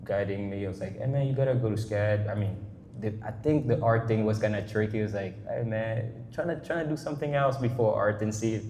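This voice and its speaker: At a fairly quick pace, a man speaks in a medium pitch with ordinary pitch variation. Noticeable background noise and audible room echo are present. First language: French. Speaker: artist. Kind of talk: casual interview. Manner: halting, many false starts and fillers.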